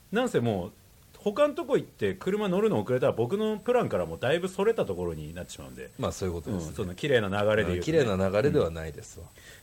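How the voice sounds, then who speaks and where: The pace is very fast. Loudness swings widely. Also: man. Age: middle-aged. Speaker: podcast host. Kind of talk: casual chat.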